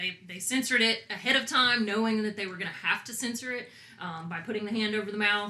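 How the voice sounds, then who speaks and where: Through noticeable background noise, a woman with a Southern US accent speaks at a fairly high pitch with ordinary pitch variation. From US South. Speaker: podcast guest, music fan. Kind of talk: casual chat. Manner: animated.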